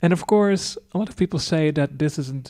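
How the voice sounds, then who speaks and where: On a very clean recording with a silent background, a man with a fairly high pitch and a dark, mellow tone speaks with ordinary pitch variation. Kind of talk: unscripted commentary. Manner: hesitant, stammering.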